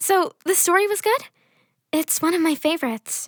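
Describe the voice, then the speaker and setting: In a put-on character voice, a female-sounding speaker squeaks along at a moderate pace with an extremely high pitch. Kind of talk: spooky story narration. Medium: audio drama.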